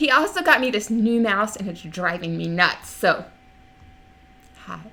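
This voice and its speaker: A woman with a medium-pitched voice speaks at a fairly slow pace. Her tone is animated, her intonation lively, and her loudness swings widely. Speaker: genealogy livestream co-host. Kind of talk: casual live stream chat. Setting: live stream. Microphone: far from the mic.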